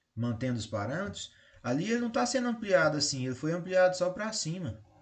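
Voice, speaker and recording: Somewhat breathy, a man with a Brazilian accent speaks at a moderate pace with very wide pitch swings, and audible room echo surrounds him. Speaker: math teacher. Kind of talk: lecture.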